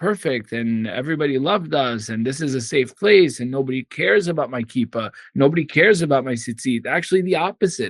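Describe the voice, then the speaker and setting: A man at medium pitch uses lively intonation, captured with a dry, close sound and no echo. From Syria (Damascus), raised in US from childhood. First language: Arabic. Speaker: attorney and activist. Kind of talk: interview testimony.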